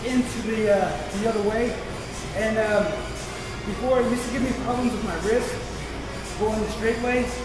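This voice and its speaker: Over clear background music and audible room echo, a man speaks at a fairly quick pace. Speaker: fitness vlogger. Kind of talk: tutorial. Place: gym. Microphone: camera far.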